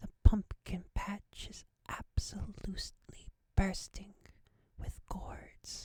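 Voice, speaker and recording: Whispering fills the clip. The pace is very slow. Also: woman. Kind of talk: ASMR gameplay narration, soft-spoken and relaxing. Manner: soft-spoken, whispering.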